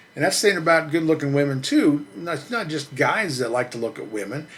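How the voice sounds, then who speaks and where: The speech runs at a very fast pace with lively intonation. Noticeable background noise can be heard. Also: man. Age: 60s. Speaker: truck reviewer and channel host. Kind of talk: casual monologue to camera. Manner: halting, repeats words.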